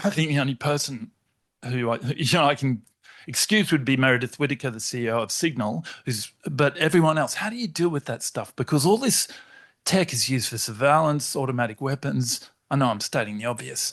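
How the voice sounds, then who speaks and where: An unremarkable speaking voice with lively intonation. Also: man, fairly high pitch for a man, fairly quick pace, quiet background. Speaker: academic audience member. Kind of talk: audience question.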